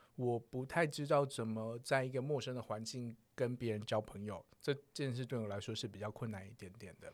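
A man's plain, everyday voice at medium pitch, with ordinary pitch variation, a moderate pace and hardly any pauses. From southern Taiwan. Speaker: podcaster on sex topics. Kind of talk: casual chat. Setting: recording studio.

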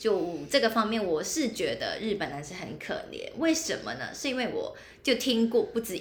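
Against noticeable background noise and audible room echo, a woman talks at a moderate pace. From Hong Kong. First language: Cantonese (speaking Chinese). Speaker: podcast co-host. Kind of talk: casual chat.

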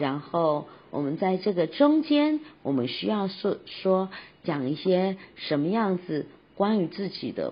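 A woman's voice comes across as somewhat breathy. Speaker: podcast host and voice coach. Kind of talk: tutorial.

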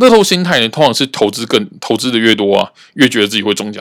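This man has an unremarkable speaking voice at a medium pitch. He talks fairly quickly with lively intonation. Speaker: podcast host, cram-school teacher. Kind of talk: casual monologue.

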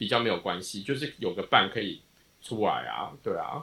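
A man with a Taiwanese accent at a moderate pace. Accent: Taiwanese Mandarin. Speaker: podcast co-host. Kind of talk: casual chat.

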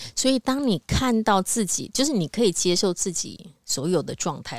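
A woman talks at a moderate pace with lively intonation. She has a plain, everyday voice. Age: 50s. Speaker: spiritual podcast co-host. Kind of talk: casual spiritual conversation.

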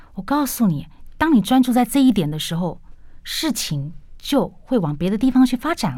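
Her voice dark and mellow with vocal fry, a woman speaks with very wide pitch swings. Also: fairly high pitch for a woman, moderate pace. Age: 40s. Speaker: English educator and business lecturer. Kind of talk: radio interview.

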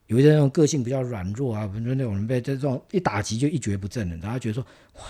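Somewhat breathy, a man talks at a medium pitch with lively intonation. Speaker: interior design director. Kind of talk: interview.

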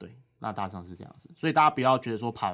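Very fast talking fills a very clean recording where the background is silent. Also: man. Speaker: legislator's aide. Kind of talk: casual interview.

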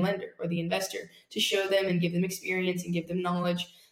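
A woman at medium pitch, fairly quick and flat in a monotone, over noticeable background noise. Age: young. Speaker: real estate investor. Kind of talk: interview.

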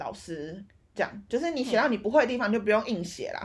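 Very fast and somewhat breathy, a woman speaks at a fairly high pitch with lively intonation. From Taiwan. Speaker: podcast co-host. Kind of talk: casual chat. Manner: animated.

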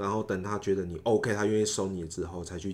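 A man's very deep, low voice moves with fairly even intonation. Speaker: former PhD student in Japan, legislative aide. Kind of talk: casual interview. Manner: hesitant, many fillers.

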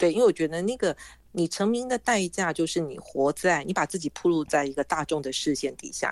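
In a normal speaking voice, a woman talks fairly quickly at a fairly low pitch with lively intonation, the sound dry and close with no echo. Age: 60s. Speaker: author and former journalist. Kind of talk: interview.

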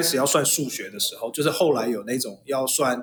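Moderately paced, a man with a fairly high pitch talks in an ordinary speaking voice. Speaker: father and host's husband. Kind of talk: casual chat.

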